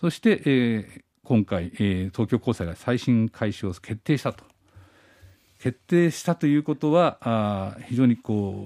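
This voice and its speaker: The recording is very clean, with a silent background and a dry, close sound with no echo. A man speaks in a dark, mellow tone with lively intonation. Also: medium pitch for a man, fairly slow pace, big swings in loudness. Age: 50s. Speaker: radio news commentator. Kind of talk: news commentary.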